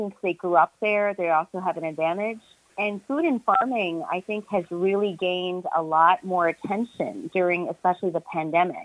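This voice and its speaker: With an American accent, a woman speaks in an ordinary speaking voice of medium pitch with ordinary pitch variation, at a moderate pace and with hardly any pauses. The sound is dry and close, with no echo. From New York suburbs. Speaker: journalist and author. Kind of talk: interview.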